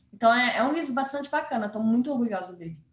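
Behind a woman's voice there is noticeable background noise. Her pitch varies in an ordinary way. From Brazil, Goiás (Formosa). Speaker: novelist and journalist. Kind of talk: interview.

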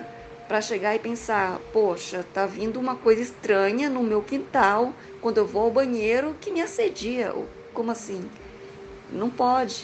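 A woman's fairly high voice with ordinary pitch variation, fairly slow in pace, amid noticeable background noise. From Goiás, Brazil. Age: 30s. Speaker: listener telling own experience. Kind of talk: recorded personal account. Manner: halting.

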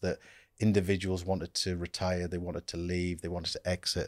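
Very deep, low male voice, dry and close with no echo, on a very clean recording against a silent background. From Norfolk then northeast England, partly Abu Dhabi. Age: 50s. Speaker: company managing director. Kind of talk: interview conversation.

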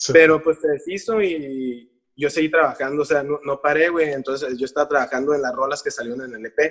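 A man with an unremarkable speaking voice talks at a fairly quick pace, with hardly any pauses and a fairly high pitch. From Mexico, Tijuana. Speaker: musician. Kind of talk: casual chat.

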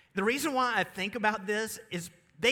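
The voice is raised and projected, with a bright, sharp tone. It carries a Southern US accent. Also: man. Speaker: pastor. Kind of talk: sermon. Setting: church.

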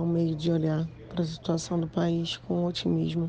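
This woman's pitch is fairly low and her intonation monotone and flat. She talks at a fairly slow pace. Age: 30s. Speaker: writer and social worker. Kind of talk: interview.

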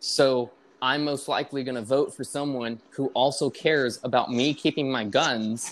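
With a normal speaking voice, a man talks at a moderate pace and medium pitch, his intonation fairly even. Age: 20s. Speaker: podcast co-host. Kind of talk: casual chat. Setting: remote online call.

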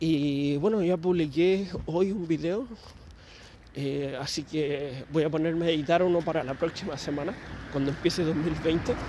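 With a Chilean accent, a man speaks in a fairly high voice with ordinary pitch variation over noticeable background noise. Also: fairly slow pace. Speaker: podcaster. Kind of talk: casual monologue. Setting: outdoors, walking at night. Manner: rambling, hesitant.

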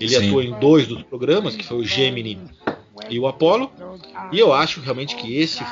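The pitch varies in an ordinary way while noticeable background noise plays underneath. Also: man. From Brazil, São Paulo city. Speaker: scout group president. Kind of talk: interview.

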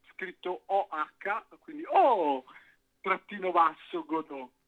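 Very slow and high-pitched, this man's voice swings very widely in pitch, captured with a dry, close sound and no echo. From Cinisello, near Milan. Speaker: musician. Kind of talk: casual interview.

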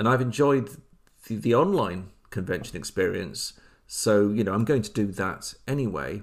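A man's fairly low voice with vocal fry, lively intonation and a moderate pace. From England, Leicester area. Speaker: podcast host, tabletop gamer. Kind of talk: solo podcast monologue. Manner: halting.

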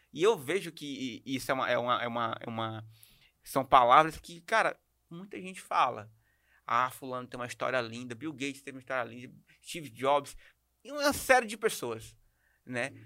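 A man's medium-pitched, bright and sharp voice at a moderate pace, with ordinary pitch variation and long, frequent pauses. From Maranhão, Brazil. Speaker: podcast host. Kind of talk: podcast interview. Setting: studio.

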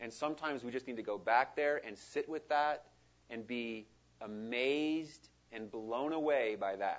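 A man's normal speaking voice at a medium pitch and moderate pace, with ordinary pitch variation. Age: 40s. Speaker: missionary. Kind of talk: sermon. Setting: church.

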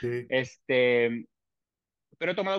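A man's normal speaking voice, medium in pitch, with lively intonation and a fairly slow pace. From Mexico City. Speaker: chef. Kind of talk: casual chat.

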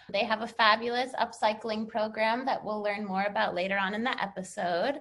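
An unremarkable speaking voice from a woman with an American accent, fairly high in pitch, at a moderate pace. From United States. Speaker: podcast host. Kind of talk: interview.

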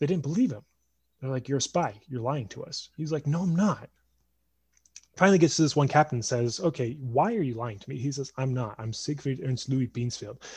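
This man's voice is somewhat breathy. His pitch is medium. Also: ordinary pitch variation. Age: 20s. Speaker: podcast host and mentor. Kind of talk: storytelling; casual interview chat.

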